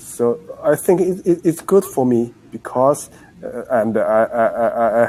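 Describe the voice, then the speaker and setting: At a fairly slow pace, a man speaks with a Chinese accent. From China. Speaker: English learner. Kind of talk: casual chat. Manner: halting, many hesitations.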